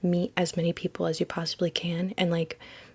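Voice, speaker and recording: A woman's voice, somewhat breathy and fairly low in pitch, carries through the clip. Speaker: tarot card reader. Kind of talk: tarot reading monologue.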